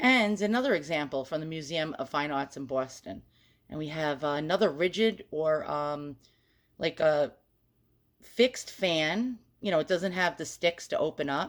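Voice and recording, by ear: Someone with a New York accent speaks at a moderate pace with lively intonation on a very clean recording with a silent background. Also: woman, very deep, low pitch for a woman.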